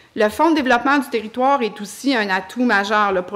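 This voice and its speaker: Ordinary pitch variation carries through a woman's very fast speech. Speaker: mayoral candidate. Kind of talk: debate answer. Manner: halting.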